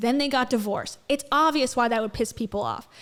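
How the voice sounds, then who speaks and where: A woman speaks loudly in a high, animated voice. The recording is very clean, with a silent background. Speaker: commentary streamer. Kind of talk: reaction commentary.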